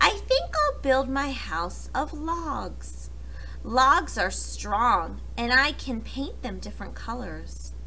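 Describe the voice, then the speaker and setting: A put-on character voice moves at a very slow pace against clear background noise. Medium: read story.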